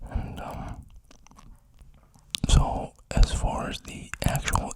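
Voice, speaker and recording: The voice is whispering. Noticeable background noise runs behind it. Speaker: ASMR creator. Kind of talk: close-mic soft-spoken talk. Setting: home studio, close condenser mic. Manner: soft-spoken.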